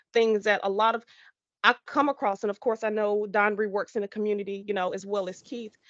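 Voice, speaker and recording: Her medium-pitched voice has a bright, sharp tone. The woman's sound is dry and close with no echo, over a quiet background. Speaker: podcast host. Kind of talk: panel discussion.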